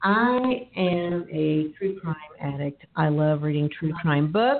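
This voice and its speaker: Very slow speech with an American accent and lively intonation, over noticeable background noise. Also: woman, fairly low pitch for a woman. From Texas. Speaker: podcast host and divorce attorney. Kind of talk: casual podcast chat.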